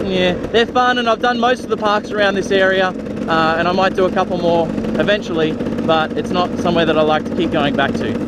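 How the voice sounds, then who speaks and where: A man with an Australian accent, high-pitched, with ordinary pitch variation, at a fairly quick pace, over noticeable background noise. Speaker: motorcycle vlogger. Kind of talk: Q&A vlog, casual chat.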